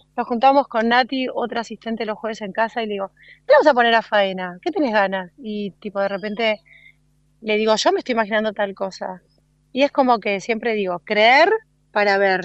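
In a dry, close recording with a quiet background, a woman with a Rioplatense accent talks at a fairly quick pace, with ordinary pitch variation and big swings in loudness. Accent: Argentine Rioplatense Spanish. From Argentina, Bolívar, Buenos Aires province. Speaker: floral stylist. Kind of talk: casual interview. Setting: phone call.

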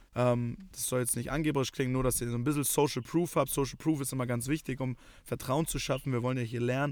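A man talks very fast in a flat monotone at a medium pitch, in a very clean recording with a silent background. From Germany, Hamburg. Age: 20s. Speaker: podcast co-host. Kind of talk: casual chat. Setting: in a car.

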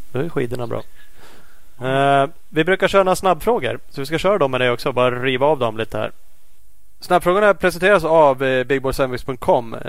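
A man with a fairly high pitch and ordinary pitch variation speaks at a fairly quick pace, broken by long, frequent pauses. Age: 50s. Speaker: motocross podcast host. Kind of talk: casual chat.

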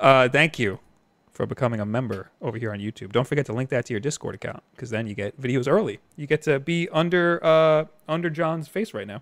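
An ordinary speaking voice moves at a fairly quick pace with lively intonation. The sound is dry and close with no echo, on a very clean recording with a silent background. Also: man, medium pitch for a man. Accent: American. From New York, Long Island. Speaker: gaming YouTuber and live stream host. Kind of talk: casual chat. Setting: live stream.

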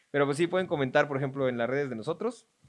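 This man talks very fast at a medium pitch. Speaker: podcast host. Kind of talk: casual chat. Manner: animated.

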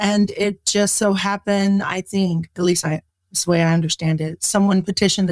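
A woman's normal speaking voice at medium pitch, moderate pace and fairly even intonation, dry and close with no echo. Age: 40s. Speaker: nurse. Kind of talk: casual interview.

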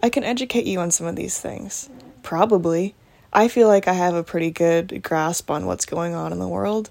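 Speaking at a moderate pace, a woman with an American accent uses a plain, everyday voice, fairly low in pitch, with lively intonation. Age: 20s. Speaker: podcaster and YouTuber. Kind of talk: casual solo monologue. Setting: home recording at night. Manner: soft-spoken.

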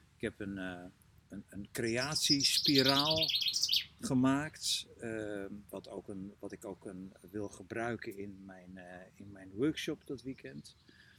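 A man talks very slowly in a fairly low pitch, his loudness swinging widely. Noticeable background noise sits behind him. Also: lively intonation. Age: 60s. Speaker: coach and trainer. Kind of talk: casual interview. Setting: outdoors in a garden. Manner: halting, many repetitions.

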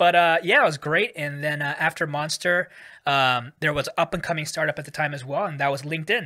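A voice with a Californian accent moves at a fairly quick pace in a bright, sharp tone. The recording is very clean, with a silent background. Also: man, fairly high pitch for a man, ordinary pitch variation. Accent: Californian American. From US, San Francisco Bay Area. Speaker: tech executive. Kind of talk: casual interview.

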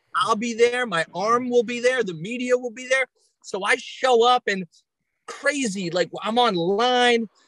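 A fairly slow pace in a New York accent. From Long Island, New York. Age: 30s. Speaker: comedian. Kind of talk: casual chat.

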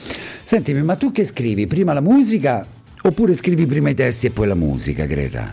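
A man speaks at a fairly quick pace. His pitch sits fairly high. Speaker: radio host. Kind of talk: radio interview. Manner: warm, chatty, enthusiastic.

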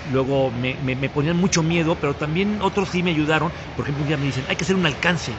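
Over noticeable background noise and audible room echo, a man talks at a very fast pace with a fairly high pitch and ordinary pitch variation. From Mexico, Puebla. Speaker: municipal economy and tourism official. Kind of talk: casual interview chat. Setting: café.

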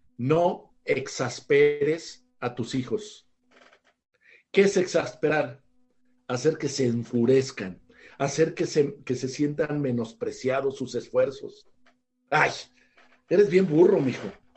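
Speaking with a Mexican accent, a man has a fairly high pitch, ordinary pitch variation and a somewhat breathy voice. His pace is very slow, with long, frequent pauses. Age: 60s. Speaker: author and family educator. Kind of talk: interview on parenting.

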